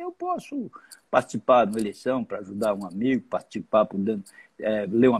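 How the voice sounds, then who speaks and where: A man talks at a very fast pace with a dry, close sound with no echo. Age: 70s. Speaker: former politician. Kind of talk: interview. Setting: live video stream.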